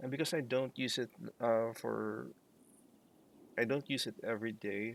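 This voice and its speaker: A man talks at a fairly slow pace and medium pitch, his intonation fairly even. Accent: non-native. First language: not English. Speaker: let's play streamer. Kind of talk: gameplay commentary. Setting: live stream. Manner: many pauses and fillers.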